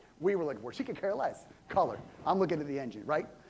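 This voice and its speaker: Very fast and animated, a man talks with lively intonation while room echo is audible. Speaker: pastor. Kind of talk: sermon. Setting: church. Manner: loud.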